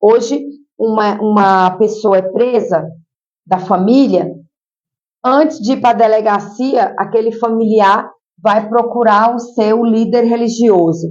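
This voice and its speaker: A woman with a strong Piauí accent talks at a very slow pace and fairly high pitch, with long, frequent pauses and very even loudness. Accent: Piauí accent, kept strong. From Piauí, Brazil. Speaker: social worker and mayoral candidate. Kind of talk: interview. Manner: animated.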